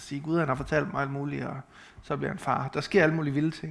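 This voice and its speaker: This is a man talking. His pitch sits fairly high. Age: 30s. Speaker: preacher. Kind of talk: sermon. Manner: halting.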